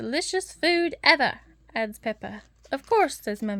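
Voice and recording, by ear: Someone reads text out loud. The delivery is natural.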